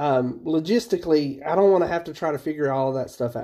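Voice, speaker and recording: With an Appalachian accent, a man talks very fast in a fairly high voice with a dark, mellow tone against a quiet background. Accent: Appalachian American English. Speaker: podcast co-host. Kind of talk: casual chat. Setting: call.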